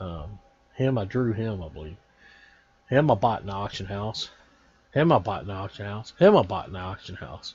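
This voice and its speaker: This somewhat breathy voice moves at a moderate pace with lively intonation. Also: man. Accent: Texan. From Texas. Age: 40s. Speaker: gaming YouTuber. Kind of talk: casual video commentary.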